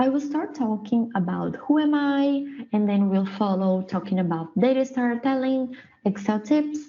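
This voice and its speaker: Somewhat breathy, a woman with a Brazilian Portuguese accent speaks at a fairly slow pace. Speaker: production engineer, dashboard trainer. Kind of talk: presentation / tutorial. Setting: prerecorded online session. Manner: hesitant, many fillers.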